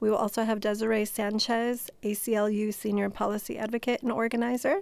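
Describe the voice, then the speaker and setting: Monotone, flat delivery in an American accent at a moderate pace, on a very clean recording with a silent background. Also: woman. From Chicago. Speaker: nonprofit co-founder. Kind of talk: radio interview.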